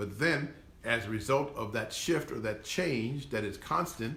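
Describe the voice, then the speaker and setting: A man's bright, sharp tone with audible room echo. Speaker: historian lecturer. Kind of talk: lecture. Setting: live stream. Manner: halting.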